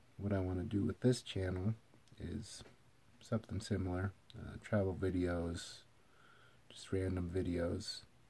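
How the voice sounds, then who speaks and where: A somewhat breathy speaker with a dark, mellow tone and an American accent talks at a fairly slow pace in a flat monotone, pausing long and often. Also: man, very deep, low pitch for a man. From Eastern Washington, US. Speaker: vlogger. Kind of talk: casual video intro monologue. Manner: hesitant with many fillers. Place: home room. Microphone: phone near.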